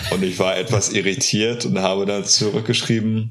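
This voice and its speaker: Against noticeable background noise, a man with a fairly low pitch speaks at a fairly slow pace. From northern Germany, north of Bremen. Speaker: music podcast co-host. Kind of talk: casual chat.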